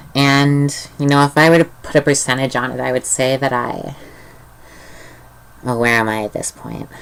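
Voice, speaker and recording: A woman with a very deep, low pitch speaks at a moderate pace with fairly even intonation and long, frequent pauses. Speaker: youth channel vlogger. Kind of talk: casual vlog talk. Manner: hesitant, many fillers.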